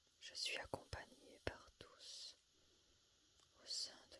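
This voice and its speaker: This woman whispers. Her delivery is very slow. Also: long, frequent pauses, big swings in loudness. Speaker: spiritual medium. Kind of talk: meditative channeling. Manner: whispering.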